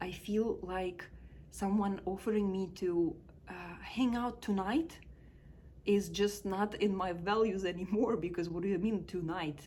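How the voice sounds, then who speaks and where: Speaking at a fairly slow pace with a Russian accent, a woman is heard with audible room echo. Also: medium pitch for a woman, ordinary pitch variation. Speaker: life coach. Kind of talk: personal reflection vlog. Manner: casual, with hesitations.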